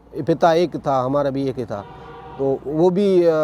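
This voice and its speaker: A man's dark, mellow tone moves at a moderate pace with lively intonation. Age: 60s. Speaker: folk musician. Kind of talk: interview. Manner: halting.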